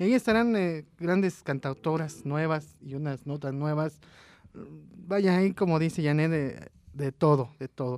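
An ordinary speaking voice from a man, fairly high in pitch, with ordinary pitch variation and a fairly slow pace, on a very clean recording with a silent background. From Mexico City. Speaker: radio host. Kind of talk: radio interview and event announcements.

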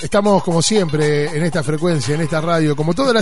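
In a room with audible echo and noticeable background noise, a man with a fairly high pitch speaks at a fairly quick pace with ordinary pitch variation. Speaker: radio host. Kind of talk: radio show. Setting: radio studio.

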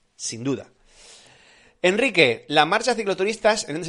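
With lively intonation, a man delivers his words in an animated tone. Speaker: cycling podcast host. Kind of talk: live stream Q&A chat.

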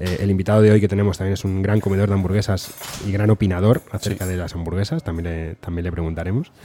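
Noticeable background noise accompanies a man with a very deep, low pitch talking at a very fast pace with fairly even intonation. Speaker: podcast host. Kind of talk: casual chat. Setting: restaurant.

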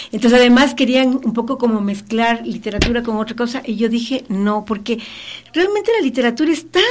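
A woman talks at a fairly quick pace in a fairly high pitch with ordinary pitch variation. Noticeable background noise can be heard. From Ecuador. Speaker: children's author. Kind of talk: radio interview.

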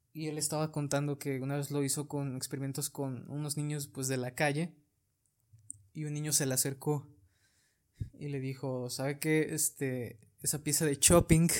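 Over a silent background on a very clean recording, a man with a fairly high pitch speaks at a moderate pace in a flat monotone. Long pauses come often. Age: 20s. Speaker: flautist and podcast host. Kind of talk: casual chat.

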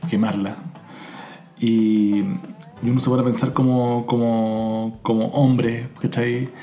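A man with a Chilean accent at a very slow pace and medium pitch, with ordinary pitch variation over noticeable background noise. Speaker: podcast co-host. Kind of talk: casual chat. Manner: halting.

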